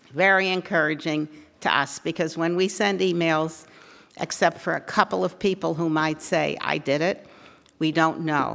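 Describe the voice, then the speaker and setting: A woman's very deep, low voice with vocal fry, ordinary pitch variation, and a moderate pace in a very clean recording with a silent background. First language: not English. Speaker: advocacy group organizer. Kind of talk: forum speech to audience. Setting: room with live audience.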